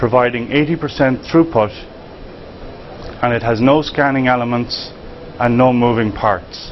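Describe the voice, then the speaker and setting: A medium-pitched man with an Irish accent at a moderate pace, fairly even in intonation, with long, frequent pauses, noticeable background noise and audible room echo. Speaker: tech company founder. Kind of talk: conference pitch presentation.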